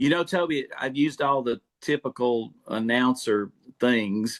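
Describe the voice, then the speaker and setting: On a dry, close recording with no echo and a quiet background, a man with a normal speaking voice talks at a medium pitch with ordinary pitch variation. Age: 60s. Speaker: sports play-by-play announcer. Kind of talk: podcast interview.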